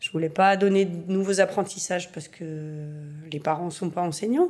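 A woman with a normal speaking voice speaks at a fairly low pitch. Her intonation is fairly even. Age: 40s. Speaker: primary school teacher. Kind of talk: documentary interview testimony.

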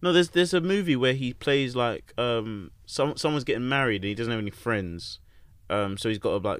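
With lively intonation and a fairly quick pace, a man at a medium pitch speaks in a normal speaking voice on a very clean recording with a silent background. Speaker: podcast host. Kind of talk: casual chat. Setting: studio. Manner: laid-back, swears casually.

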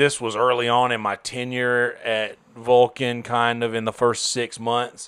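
On a very clean recording with a silent background, a man at medium pitch speaks fairly slowly in a monotone, flat intonation, with hardly any pauses. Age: 30s. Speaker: comedian and musician. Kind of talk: casual chat. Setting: studio.

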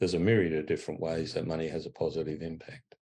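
With an Australian accent, a man speaks at a very deep, low pitch in a monotone, flat intonation with a dark, mellow tone. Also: quiet background. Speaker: charity chief executive. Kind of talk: interview.

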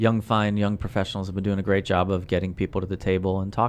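In an American accent, a man with an ordinary speaking voice and fairly low pitch talks at a fairly quick pace. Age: 50s. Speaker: nonprofit director. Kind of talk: casual chat.

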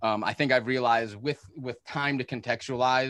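A man speaks in an unremarkable speaking voice. The recording is very clean, with a silent background. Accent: American. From Chicago northern suburbs, Illinois. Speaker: podcast host. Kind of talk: casual chat.

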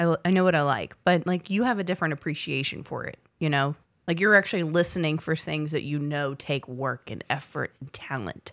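A woman with an American accent speaks at a very deep, low pitch and a fairly quick pace, with ordinary pitch variation. The recording is very clean, with a silent background and a dry, close sound with no echo. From Southern Virginia, US South. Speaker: podcast co-host. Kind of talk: casual chat. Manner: animated.

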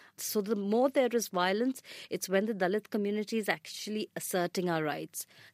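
In a very clean recording with a silent background and a dry, close sound with no echo, a woman speaks with an Indian accent. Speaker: rights activist. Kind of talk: panel discussion.

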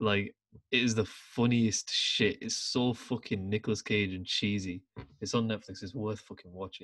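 With a British accent, this man speaks at a moderate pace and a fairly low pitch. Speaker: podcast host. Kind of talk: casual chat. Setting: video call. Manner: animated.

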